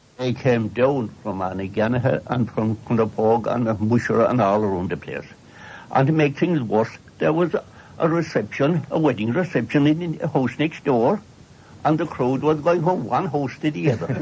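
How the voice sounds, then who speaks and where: A man with a rural Cork accent speaks at a moderate pace in a medium pitch with lively intonation. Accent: rural Cork Irish. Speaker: storyteller. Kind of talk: oral history storytelling. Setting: radio broadcast.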